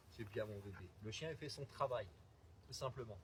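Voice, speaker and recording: A man talks at a fairly quick pace. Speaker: dog trainer. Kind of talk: outdoor demonstration. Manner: switches between calm and loud commanding tone.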